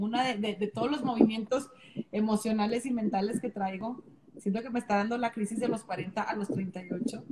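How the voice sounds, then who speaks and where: A woman speaks at a moderate pace with a fairly high pitch and fairly even intonation over noticeable background noise. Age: 30s. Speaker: dance and Zumba instructor. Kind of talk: casual chat. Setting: Instagram live video stream.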